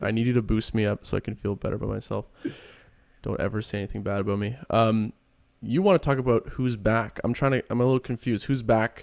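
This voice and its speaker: A man mumbles at a very fast pace and a medium pitch with fairly even intonation. The sound is dry and close, with no echo. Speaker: podcast co-host. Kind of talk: casual chat. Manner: mumbling.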